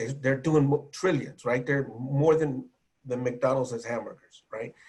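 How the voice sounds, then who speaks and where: An American-accented man, medium in pitch, somewhat breathy, with fairly even intonation. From California, US. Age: 60s. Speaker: music journalist and radio host. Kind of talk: panel discussion. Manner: halting with many repetitions.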